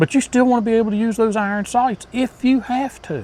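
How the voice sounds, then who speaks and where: A man's voice, high in pitch. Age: 60s. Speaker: hunting channel host. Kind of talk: casual talk to camera. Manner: conversational with fillers.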